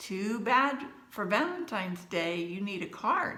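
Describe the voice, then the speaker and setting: In a put-on character voice, a female-sounding speaker talks at a fairly slow pace in a medium pitch, with audible echo. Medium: read story.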